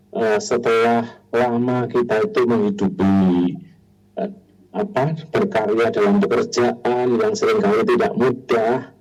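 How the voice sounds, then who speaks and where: With music in the background, a man of medium pitch speaks at a very slow pace. His pitch swings very widely while his loudness stays very even. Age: 60s. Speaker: hypnotherapist sharing on a radio talk. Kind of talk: radio talk show discussion. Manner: hesitant, many fillers.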